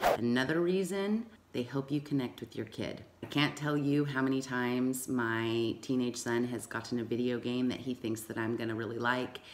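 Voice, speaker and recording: An enthusiastic woman's voice with very deep, low pitch, ordinary pitch variation, a moderate pace and hardly any pauses. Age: 40s. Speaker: YouTube host of a video game and parenting channel. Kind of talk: casual talk to camera. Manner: enthusiastic, conversational.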